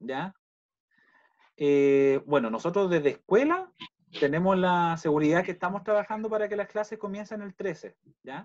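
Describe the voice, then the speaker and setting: A high-pitched man with a Chilean accent, lively intonation, big swings in loudness and long, frequent pauses over a quiet background. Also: moderate pace. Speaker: university school director; school staff member hosting the welcome. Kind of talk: virtual welcome meeting. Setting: video call. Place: home room. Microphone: video call.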